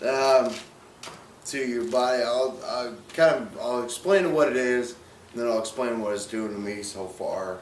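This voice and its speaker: A man speaks at a fairly slow pace, medium in pitch with ordinary pitch variation. Noticeable background noise and audible room echo fill the recording. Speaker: person living with ALS. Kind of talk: interview. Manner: slow, sometimes slurred speech.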